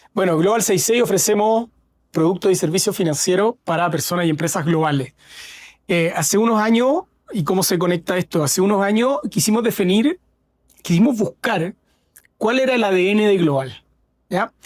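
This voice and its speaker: A man with a Chilean accent speaks at a high pitch and moderate pace, with ordinary pitch variation, very even loudness, and long, frequent pauses. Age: 40s. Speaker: fintech founder. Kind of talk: interview. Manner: halting, with frequent fillers.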